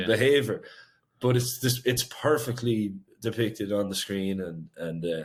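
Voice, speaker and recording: With ordinary pitch variation, a man's speech proceeds at a fairly slow pace. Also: medium pitch for a man. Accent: Irish. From Ireland. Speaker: singer-songwriter. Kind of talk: interview answer.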